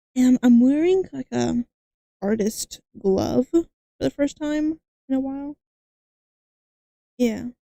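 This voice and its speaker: A woman speaks fairly slowly at a fairly high pitch with ordinary pitch variation, her dark, mellow tone caught in a dry, close sound with no echo. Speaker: streamer drawing live. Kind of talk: casual livestream chat. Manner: halting, many fillers and restarts.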